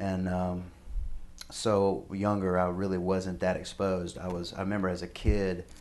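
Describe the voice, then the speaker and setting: Flat, monotone delivery at a moderate pace, with audible room echo. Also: man, very deep, low pitch for a man. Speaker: musician. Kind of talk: interview. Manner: halting.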